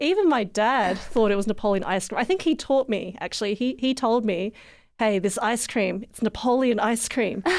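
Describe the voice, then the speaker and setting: On a very clean recording with a silent background, a woman with an Australian accent uses lively intonation and keeps her loudness very even. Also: fairly high pitch for a woman, moderate pace. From Australia, Canberra. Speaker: musician. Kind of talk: interview.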